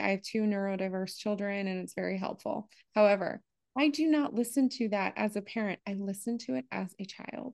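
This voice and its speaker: A woman speaks in an ordinary speaking voice at a fairly quick pace, with a medium pitch and ordinary pitch variation, against a quiet background. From US, partly Appalachia. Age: 40s. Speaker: leadership coach. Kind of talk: interview conversation.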